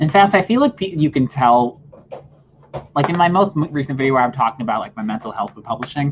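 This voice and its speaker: Amid noticeable background noise, a man with a fairly high pitch talks at a very fast pace with lively intonation. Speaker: writer. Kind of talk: casual chat.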